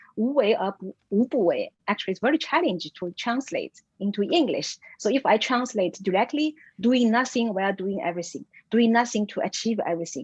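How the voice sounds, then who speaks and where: Fairly high-pitched and somewhat breathy, a woman talks at a fairly quick pace with lively intonation and big swings in loudness, in a dry, close sound with no echo. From China. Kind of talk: lecture. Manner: halting, many fillers.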